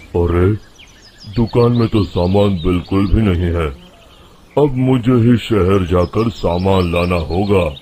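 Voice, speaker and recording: A man puts on a character voice that is rumbling and very deep, low in pitch. He speaks at a fairly slow pace. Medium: cartoon. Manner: grumbling, brusque.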